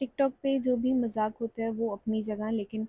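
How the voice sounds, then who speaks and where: Fairly slow and monotone, a woman speaks in a fairly high, somewhat breathy voice with a dark, mellow tone. The sound is dry and close, with no echo. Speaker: vlogger and charity volunteer. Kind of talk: vlog voiceover narration. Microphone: clip-on mic makes voice sound bad.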